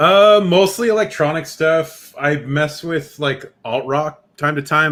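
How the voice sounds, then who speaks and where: With a Californian accent, a man speaks at a very slow pace with ordinary pitch variation. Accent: California. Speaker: musician making electronic music.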